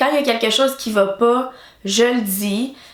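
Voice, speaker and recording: A woman talks at a moderate tempo amid noticeable background noise and audible room echo. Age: 20s. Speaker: YouTuber. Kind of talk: casual vlog talk. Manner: halting, many hesitations.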